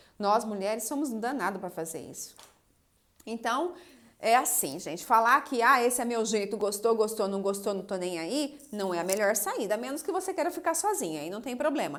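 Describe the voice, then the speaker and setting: With a fairly high pitch and very wide pitch swings, a woman speaks at a moderate pace, her loudness shifting in big swings. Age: 30s. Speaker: psychoanalyst and relationship coach. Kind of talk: live stream talk answering viewer comments. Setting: Instagram live video.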